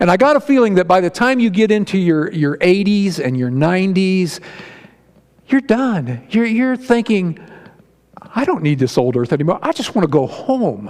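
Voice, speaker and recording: Over noticeable background noise, a man with a Midwestern American accent speaks at a moderate pace and high pitch, his pitch swinging very widely. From northeast Ohio, Barberton area. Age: 60s. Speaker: lay preacher. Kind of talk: sermon. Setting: church with congregation. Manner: folksy, conversational.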